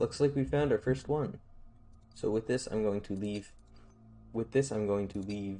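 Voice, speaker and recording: Speaking at a moderate pace with long, frequent pauses, a man uses a fairly low, dark, mellow voice. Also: ordinary pitch variation. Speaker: streamer. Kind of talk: gameplay commentary. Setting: live stream. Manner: halting.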